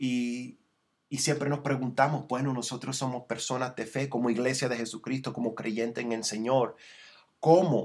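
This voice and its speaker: With fairly even intonation, a man speaks fairly slowly at a medium pitch. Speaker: preacher. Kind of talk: sermon. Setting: broadcast or online transmission. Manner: earnest, exhortative pastoral delivery, teaching verse by verse; frequent self-repeats and restarts, slightly halting.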